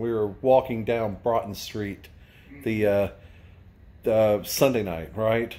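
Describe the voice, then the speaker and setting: At a fairly slow pace, a man delivers his words. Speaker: vlogger. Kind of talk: casual vlog chat. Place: home room. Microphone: phone near.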